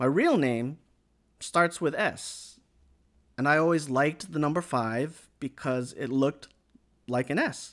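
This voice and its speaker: A man with an upbeat, animated tone at a fairly slow pace, in a very clean recording with a silent background. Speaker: anime news podcast host. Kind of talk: solo podcast news roundup. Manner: upbeat and animated.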